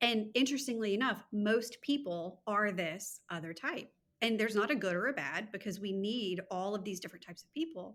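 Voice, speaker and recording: With an American accent, a woman in a normal speaking voice talks at a fairly quick pace, her medium pitch showing ordinary variation and her loudness swinging widely. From Louisiana, US South. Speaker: time management coach. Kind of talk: podcast interview.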